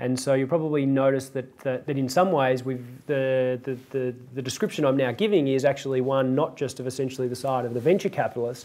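Fairly even in intonation, a man speaks at a fairly quick pace. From Australia. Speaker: venture capital investor; guest. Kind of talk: panel discussion. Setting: stage with audience. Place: hall. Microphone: lapel.

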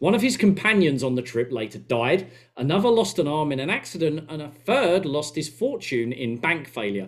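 A man with an Essex accent, very wide pitch swings and a moderate pace, against a quiet background. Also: hardly any pauses. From England. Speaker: podcast co-host. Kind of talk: casual chat; podcast discussion, reading a story aloud. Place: home room.

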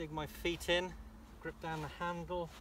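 The sound is dry with no echo, with light background noise. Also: man. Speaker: golf coach. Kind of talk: tutorial. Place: open country.

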